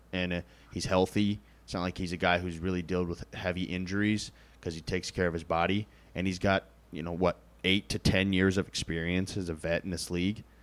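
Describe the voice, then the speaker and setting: At a fairly quick pace, a man talks in a monotone, flat way with a very deep, low pitch. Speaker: podcast host. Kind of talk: casual sports chat.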